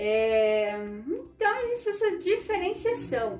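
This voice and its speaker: At a very slow pace, a woman talks with very wide pitch swings. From southern Brazil, Ukrainian community. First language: Ukrainian (speaking Portuguese). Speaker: vlogger and educator. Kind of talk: informal educational talk to camera. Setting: at home. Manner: conversational, frequent filler né.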